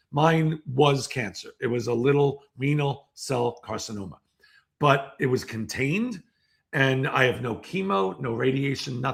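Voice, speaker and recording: A man's somewhat breathy, medium-pitched voice at a fairly slow pace, with ordinary pitch variation. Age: 60s. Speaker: seminar speaker. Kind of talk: interview. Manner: halting.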